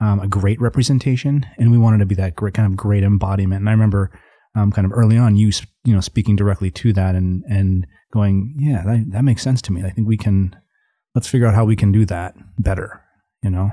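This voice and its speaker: Speaking very fast with an American accent, a man has a fairly low pitch and fairly even intonation. His dark, mellow tone is somewhat breathy, on a very clean recording with a silent background. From Minnesota, near Minneapolis. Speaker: coffee shop co-founder. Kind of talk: interview. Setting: studio.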